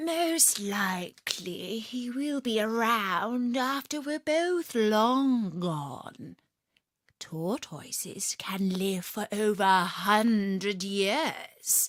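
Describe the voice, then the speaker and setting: A put-on character voice. It moves at a very slow pace. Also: woman, fairly high pitch for a woman. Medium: read story. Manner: knowing, sly.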